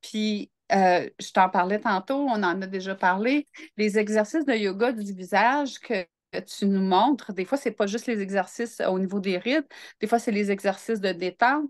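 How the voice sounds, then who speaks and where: At a fairly slow pace, a woman speaks in a dry, close sound with no echo and a quiet background. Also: medium pitch for a woman, ordinary pitch variation. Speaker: entrepreneur and interview guest. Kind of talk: casual interview. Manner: calm, grounded.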